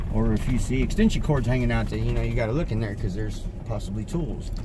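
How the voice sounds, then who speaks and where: A man with an American accent talking at a very fast pace, with audible room echo and noticeable background noise. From Texas Panhandle. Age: 30s. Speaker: vlogger. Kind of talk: casual monologue vlog. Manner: hesitant, many fillers.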